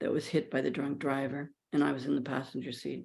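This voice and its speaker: On a very clean recording with a silent background, a woman talks with vocal fry. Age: 70s. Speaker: guest speaker on mindfulness and pain. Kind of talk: personal testimony talk. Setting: live stream. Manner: halting.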